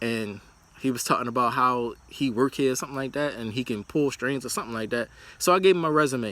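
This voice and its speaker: A man talks at a very fast pace in a medium pitch. His tone is bright and sharp, with ordinary pitch variation. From United States. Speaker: vlogger. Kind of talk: casual monologue. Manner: rambling with many fillers.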